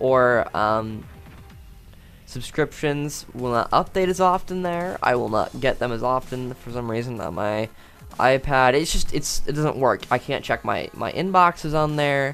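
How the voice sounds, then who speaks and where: The speaking pace is fairly slow. Background music can be heard. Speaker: tech YouTuber. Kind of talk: casual vlog monologue. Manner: halting, stuttering; many filler words.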